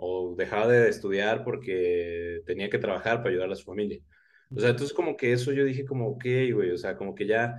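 In an unremarkable speaking voice, a man talks at a medium pitch and a moderate pace. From Oaxaca, Mexico. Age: 20s. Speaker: history content creator. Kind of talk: casual interview chat.

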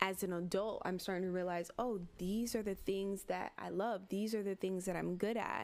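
With an American accent, a woman speaks at a moderate pace and medium pitch, her intonation fairly even, on a very clean recording with a silent background. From Miami, Florida. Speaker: podcast co-host. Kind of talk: casual chat. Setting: livestream with live chat.

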